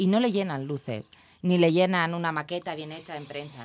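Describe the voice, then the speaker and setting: Over light background noise, a woman speaks in a Castilian accent at a moderate pace. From Spain. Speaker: television producer; guest. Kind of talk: interview. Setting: studio. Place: studio. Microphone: studio mic.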